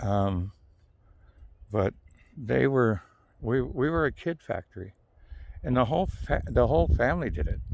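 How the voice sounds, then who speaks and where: Vocal fry runs through a man's voice. His intonation is lively. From Southern California. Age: 50s. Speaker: video blogger. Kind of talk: casual monologue vlog. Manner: rambling, halting with many fillers.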